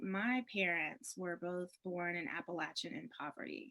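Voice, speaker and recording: In an American accent, the speaker has a bright, sharp tone and keeps a moderate pace. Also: woman. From US South, rural upstate South Carolina. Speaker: priest and state senate candidate. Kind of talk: interview. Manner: conversational with frequent fillers and repeats.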